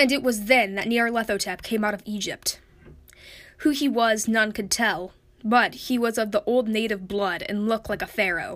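A woman with an ordinary speaking voice, fairly high in pitch, with ordinary pitch variation and a moderate pace, on a very clean recording with a silent background. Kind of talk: literary audiobook reading of a Lovecraft horror story, after a spoken intro.

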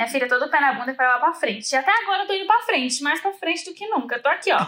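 A woman's raised, projected voice at a very fast pace, with a bright, sharp tone and very wide pitch swings. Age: 20s. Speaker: reality TV personality. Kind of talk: casual chat.

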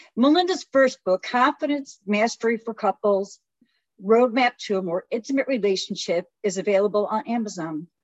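In a plain, everyday voice, a woman speaks at a fairly high pitch. She keeps a moderate pace with lively intonation. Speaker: podcast co-host. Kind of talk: casual chat.

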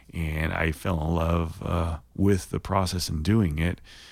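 A man with an Oklahoma accent, a very deep, low pitch and fairly even intonation, in a very clean recording with a silent background. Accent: Oklahoman. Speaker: songwriter. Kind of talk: casual interview chat.

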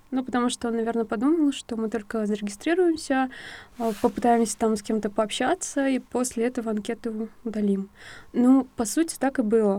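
Over a very clean recording with a silent background, a woman speaks at a moderate pace with a dark, mellow tone and a fairly high pitch. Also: ordinary pitch variation. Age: 20s. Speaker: psychologist. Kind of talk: interview storytelling.

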